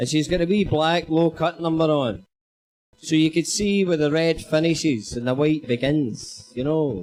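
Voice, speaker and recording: A man speaks at a moderate pace in a Glaswegian accent. His pitch is fairly high, with music playing in the background. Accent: Glaswegian Scottish. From Scotland, Glasgow. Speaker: comedian. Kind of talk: stand-up.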